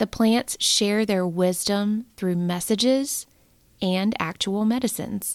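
In a very clean recording with a silent background, a woman speaks very slowly at medium pitch in a soothing, calm tone with fairly even intonation. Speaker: podcast host and meditation guide. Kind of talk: guided meditation. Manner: slow, soothing, calm; gentle, warm, encouraging.

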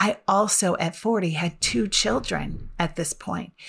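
A woman's voice with ordinary pitch variation, on a very clean recording against a silent background. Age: 50s. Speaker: personal development coach and podcast host. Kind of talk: solo podcast monologue. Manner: conversational.

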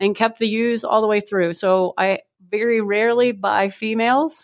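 Against a quiet background, a woman talks at a medium pitch with fairly even intonation. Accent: Midwestern American. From northern Ohio (Seneca County). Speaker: agricultural educator and sheep breeder. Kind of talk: interview.

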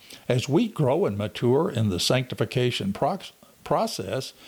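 An ordinary speaking voice with lively intonation. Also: man. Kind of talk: Bible study talk with prayer. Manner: earnest, fervent.

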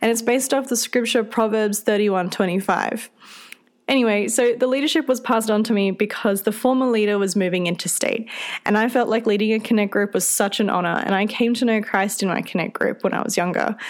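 A woman with an Australian accent talks at a very fast pace, her pitch fairly high. Her loudness stays very even and her intonation fairly even. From central Australia. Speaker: podcast host and youth group leader. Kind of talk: solo podcast talk. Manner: friendly, conversational.

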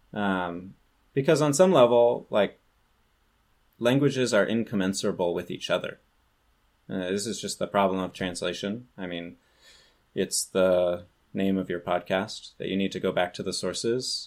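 A man with a fairly low pitch speaks with ordinary pitch variation. He leaves long, frequent pauses. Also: moderate pace, very clean recording, silent background. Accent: West Coast US. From California. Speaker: ancient language teacher. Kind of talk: casual chat.

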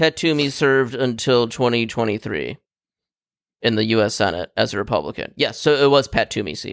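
This man has a normal speaking voice at a medium pitch, with lively intonation and a fairly quick pace, recorded very cleanly against a silent background with a dry, close sound and no echo. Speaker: podcast host. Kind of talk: casual banter among friends. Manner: joking, laughs often.

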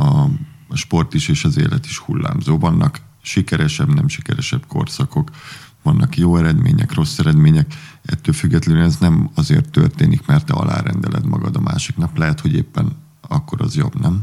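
A man's pitch swings very widely while noticeable background noise runs underneath. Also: medium pitch for a man, moderate pace. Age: 40s. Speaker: water polo coach, former player. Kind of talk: casual interview chat.

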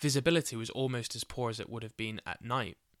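A man with a plain, everyday voice at medium pitch and a fairly quick pace, dry and close with no echo, on a very clean recording with a silent background. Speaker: podcast host. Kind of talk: scripted true-crime style narration with casual chatty intro. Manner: casual, chatty, jokey in intro.

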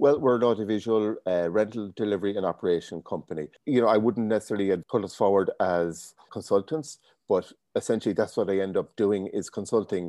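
A man's fairly low voice with a dark, mellow tone and an Irish accent, ordinary pitch variation, a fairly quick pace, and a dry, close sound with no echo over a quiet background. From Ireland, County Leitrim. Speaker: business owner. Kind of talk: interview.

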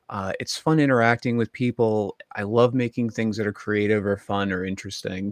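Hardly pausing, a man speaks at a moderate pace with fairly low pitch and fairly even intonation, in a dry, close sound with no echo. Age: 30s. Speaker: social media cooking creator. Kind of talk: casual chat. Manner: halting.

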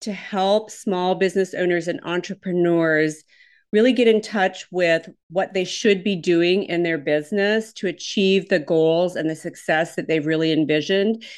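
Speaking in a Minnesotan accent, a woman with a medium-pitched voice and ordinary pitch variation is heard over a quiet background. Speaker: business coach. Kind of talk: interview.

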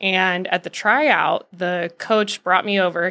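A woman with a General American accent speaks at medium pitch in a bright, sharp tone. Her intonation is fairly even, and the recording is very clean with a silent background. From Arizona (Scottsdale). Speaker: former pro volleyball player, realtor. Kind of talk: casual interview.

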